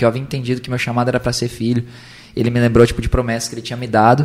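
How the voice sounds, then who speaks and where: A man with a medium-pitched voice speaks against noticeable background noise. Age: 20s. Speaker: preacher and evangelist. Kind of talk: casual chat. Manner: animated.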